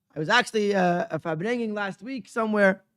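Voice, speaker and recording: A man speaks in a raised, projected voice with a high pitch and a bright, sharp tone. Pitch variation is ordinary, and the recording is very clean with a silent background. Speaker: rabbi. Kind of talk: religious talk at a gathering. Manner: halting with repetitions.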